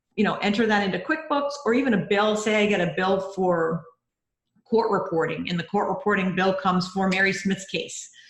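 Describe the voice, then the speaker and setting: A woman talks at a moderate pace in a medium pitch. She speaks with a Rhode Island accent. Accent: Rhode Island, non-rhotic. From US Northeast, Rhode Island. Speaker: bookkeeper and mentor. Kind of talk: mentoring session. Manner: animated.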